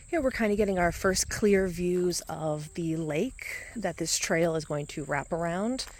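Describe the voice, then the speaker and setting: In a normal speaking voice, a woman talks at a fairly slow pace and fairly low pitch, with ordinary pitch variation. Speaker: hiking vlogger. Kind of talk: walking vlog narration. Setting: outdoors. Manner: casual.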